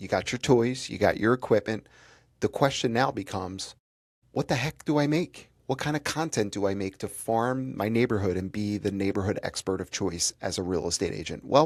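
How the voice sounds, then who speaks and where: On a very clean recording with a silent background, a man speaks at medium pitch and a moderate pace. His tone is animated and his intonation lively. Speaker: real estate coach. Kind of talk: tutorial.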